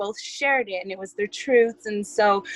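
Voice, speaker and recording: With a dry, close sound and no echo, a woman with a fairly high pitch and ordinary pitch variation speaks at a moderate pace. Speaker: community call participant. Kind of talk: group call report-back. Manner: halting, many fillers.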